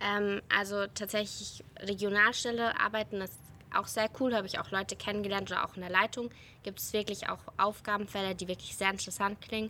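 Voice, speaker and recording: Speaking fairly quickly, a woman keeps a monotone, flat intonation while her loudness swings widely, her tone bright and sharp. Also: medium pitch for a woman. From Germany, near Heidelberg (Baden-Württemberg). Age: 20s. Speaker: disaster relief volunteer and politics student. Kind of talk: interview. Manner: hesitant, many filler sounds.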